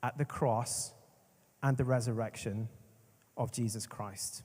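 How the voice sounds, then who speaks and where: A man with a Northern Irish accent has a dark, mellow tone and sounds somewhat breathy. The recording is very clean, with a silent background. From Northern Ireland. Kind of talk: conference talk. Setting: stage with audience. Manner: slow at first, speeding up later; animated.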